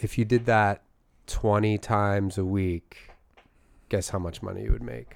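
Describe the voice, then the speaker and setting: A man with an American accent speaks at a fairly slow pace, fairly low in pitch with ordinary pitch variation. He leaves long, frequent pauses, and the recording is very clean with a silent background. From Philadelphia area, US. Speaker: comedy podcast co-host. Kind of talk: casual chat. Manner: animated.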